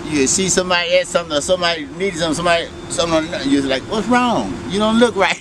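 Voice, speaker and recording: Very fast, animated delivery with hardly any pauses, ordinary pitch variation and noticeable background noise. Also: man, high pitch for a man. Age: 60s. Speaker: former inmate. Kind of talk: interview storytelling.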